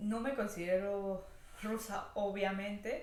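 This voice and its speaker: Speaking at a very slow pace and a medium pitch, a woman is heard with audible room echo and noticeable background noise. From Venezuela, Táchira, near Colombian border. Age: 20s. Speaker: vlogger. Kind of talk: casual vlog monologue.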